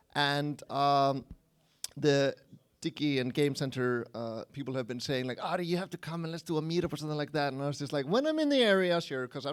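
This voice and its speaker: A man's fairly high voice with an Icelandic accent at a very fast pace, in a very clean recording with a silent background. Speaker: game programmer and engine evangelist. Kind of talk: conference talk. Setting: stage with audience, livestreamed. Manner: casual, conversational.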